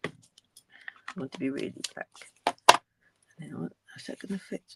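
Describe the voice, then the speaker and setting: Mumbling at a very slow pace. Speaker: crafting tutorial host. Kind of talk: tutorial. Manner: halting.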